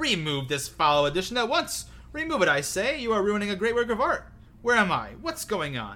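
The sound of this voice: A man performs a put-on character voice, high-pitched with a bright, sharp tone. His pitch swings a lot at a moderate pace.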